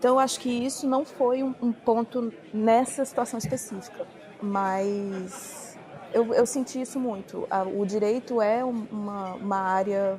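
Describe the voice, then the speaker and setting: A woman with a fairly high voice against crowd noise in the background. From Brazil. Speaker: former paralegal, immigrant. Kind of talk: casual chat.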